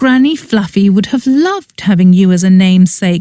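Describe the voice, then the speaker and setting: The put-on character voice moves along at a medium pace. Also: woman, medium pitch for a woman. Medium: read story. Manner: warm, gushing.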